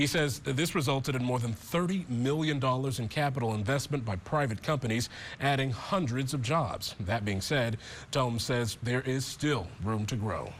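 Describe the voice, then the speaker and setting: Somewhat breathy, a man talks at a medium pitch. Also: ordinary pitch variation, moderate pace. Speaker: TV news anchor and reporter. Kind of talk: TV news anchor reading.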